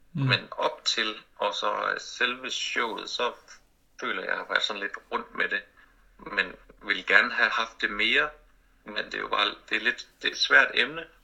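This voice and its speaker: Over noticeable background noise, someone talks at a fairly slow pace with long, frequent pauses. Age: 30s. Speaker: comedian. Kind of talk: interview about personal grief. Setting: online call.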